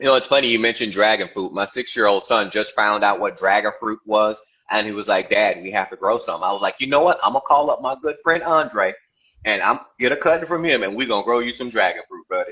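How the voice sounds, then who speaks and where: A man talks at a very fast pace with a Texas accent. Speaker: gardening podcast co-host. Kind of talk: casual chat.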